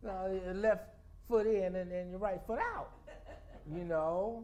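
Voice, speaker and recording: The pace is very slow as a man talks with fairly even intonation. Audible room echo surrounds his voice. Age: 60s. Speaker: storyteller. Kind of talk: spoken-word talk to a congregation. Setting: spiritual center service with congregation. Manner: halting, with frequent repetitions and fillers.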